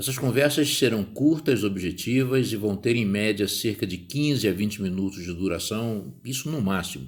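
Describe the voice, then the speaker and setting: A man with a Rio de Janeiro accent speaks at a moderate pace. His pitch is fairly low and varies in an ordinary way. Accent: carioca. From Rio de Janeiro, Brazil. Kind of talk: podcast monologue. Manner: conversational.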